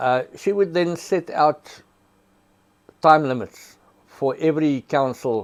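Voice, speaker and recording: In a South African accent, a man speaks at a fairly slow pace with ordinary pitch variation and long, frequent pauses. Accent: Afrikaans South African English. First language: Afrikaans. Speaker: prosecutor. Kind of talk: storytelling interview.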